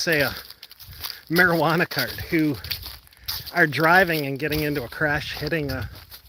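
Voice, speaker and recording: A man with a Western New York accent speaks at a moderate pace in a fairly high pitch, his pitch varying in an ordinary way against noticeable background noise. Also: long, frequent pauses. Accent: Western New York (Inland North) American. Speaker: roadside safety advocate. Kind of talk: live stream Q&A while walking. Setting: outdoors, walking on a lakeside trail. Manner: casual, conversational with fillers.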